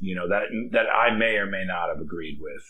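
A man with an American accent, at a moderate pace, amid audible room echo. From Idaho. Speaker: real estate agent. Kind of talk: casual chat.

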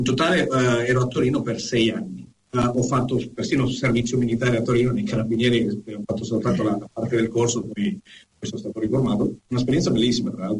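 A man talks at a very fast pace with a medium pitch. His voice is somewhat breathy, with ordinary pitch variation. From Venezuela, Caracas. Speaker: honorary consular agent and educator. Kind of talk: casual interview. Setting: Skype call.

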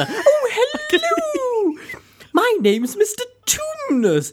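Very slow, extremely high-pitched speech in a put-on character voice. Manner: odd, overdone, affected.

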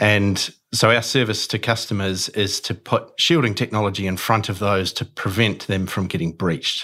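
A man with a New Zealand accent speaks at a fairly low pitch in a bright, sharp tone, with fairly even intonation. His moderate pace has hardly any pauses, on a very clean recording with a silent background. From New Zealand, Auckland. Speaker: cybersecurity company co-founder. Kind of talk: interview.

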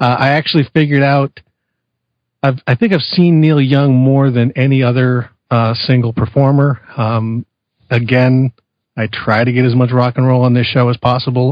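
An unremarkable speaking voice: a man at medium pitch with an American accent, moderate pace, fairly even intonation and very even loudness. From California. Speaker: podcast co-host. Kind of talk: casual chat.

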